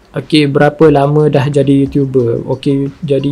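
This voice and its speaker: The speech moves at a moderate pace with monotone, flat intonation. Music plays in the background. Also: man. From Malaysia, Kelantan. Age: 20s. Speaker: youtuber. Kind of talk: casual Q&A.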